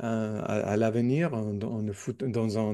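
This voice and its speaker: Against a quiet background, a man with an English accent speaks at a fairly slow pace in a dark, mellow tone. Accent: non-native French, English speaker. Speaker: newspaper editor, communist activist. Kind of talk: podcast interview. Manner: halting, many repetitions and hesitations.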